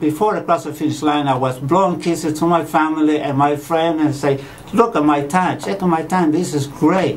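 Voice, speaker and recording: With noticeable background noise and audible room echo, a man speaks at a fairly high pitch with ordinary pitch variation. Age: 60s. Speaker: marathon runner, patient. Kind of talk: testimony.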